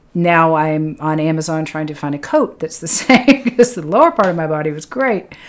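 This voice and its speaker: In a plain, everyday voice with an American accent, the speaker moves at a fairly quick pace with lively intonation. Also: woman. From Lexington, Massachusetts. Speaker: triathlon podcast host and coach. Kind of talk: casual chat. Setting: studio.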